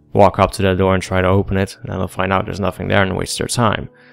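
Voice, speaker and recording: A man speaks with music in the background. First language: not English. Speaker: gaming commentator. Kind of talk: gameplay commentary.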